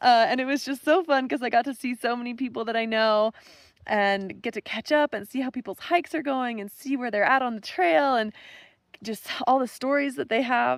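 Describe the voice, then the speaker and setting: In a very clean recording with a silent background and a dry, close sound with no echo, a woman speaks at a fairly quick pace and a high pitch with ordinary pitch variation. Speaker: thru-hiker vlogger. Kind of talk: vlog narration.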